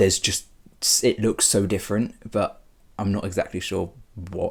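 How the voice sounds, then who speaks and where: A man with a British accent speaks at a moderate pace. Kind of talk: personal vlog.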